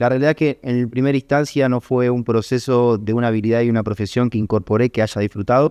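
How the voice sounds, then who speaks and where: A man with a Rioplatense accent talks at a very fast pace with a dark, mellow tone and fairly even intonation. His loudness stays very even, and the sound is dry and close with no echo over a quiet background. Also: medium pitch for a man, hardly any pauses. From Argentina, Buenos Aires. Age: 30s. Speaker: trader and trading educator. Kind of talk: podcast interview.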